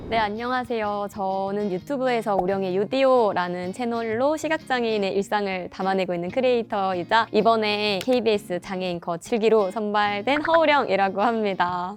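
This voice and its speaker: Amid noticeable background noise, a woman speaks with a slight Jeolla accent and ordinary pitch variation. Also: medium pitch for a woman, moderate pace, hardly any pauses. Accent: Jeolla dialect trace in 의 pronunciation. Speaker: news anchor and YouTube creator. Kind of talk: interview.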